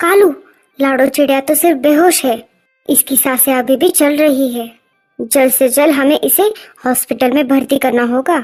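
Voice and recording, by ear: Music plays in the background. A female-sounding cartoonish character voice speaks over it. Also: moderate pace.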